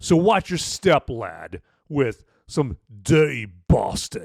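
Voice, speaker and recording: A man does a put-on character voice in a British accent, fairly high for a man and swinging very widely in pitch. He goes at a very slow pace, in a dry, close sound with no echo. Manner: gruff, scowling.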